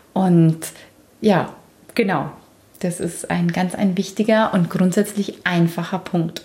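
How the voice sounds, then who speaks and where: Speaking at a fairly slow pace, a woman with a Bavarian accent sounds somewhat breathy at a medium pitch. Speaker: relationship podcast host. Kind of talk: casual chat.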